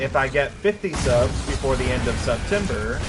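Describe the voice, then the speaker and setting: In a strong Kentucky accent, a man talks at a moderate pace with audible room echo and noticeable background noise. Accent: thick Kentucky. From Kentucky, US. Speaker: video game streamer. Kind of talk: casual live-stream chat.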